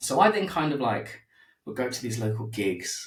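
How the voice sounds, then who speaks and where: A man's medium-pitched voice has ordinary pitch variation and sounds somewhat breathy. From East London, England. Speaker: podcaster, former musician in recovery. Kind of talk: casual interview conversation.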